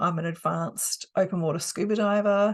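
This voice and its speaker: A woman speaks with an Australian accent. Behind her the background is quiet. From Australia, South Australia. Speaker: hypnotherapist and coach. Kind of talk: course talk.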